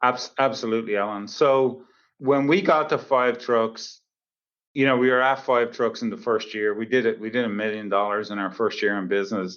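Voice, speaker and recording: At a moderate pace, a man with a medium pitch talks with ordinary pitch variation. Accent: Irish. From Dublin, Ireland. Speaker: plumbing company CEO. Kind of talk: podcast interview answer.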